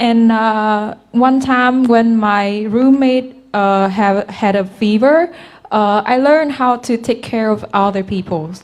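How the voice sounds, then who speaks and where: A woman with a Vietnamese accent, fairly high in pitch, at a very slow pace. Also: ordinary pitch variation. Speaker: university student. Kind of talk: webinar testimony. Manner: halting, many fillers.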